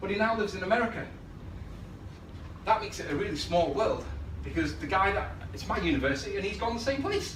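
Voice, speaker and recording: Against noticeable background noise, a man talks at a very fast pace broken by long, frequent pauses. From England. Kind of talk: conference presentation. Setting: live venue, poor recording.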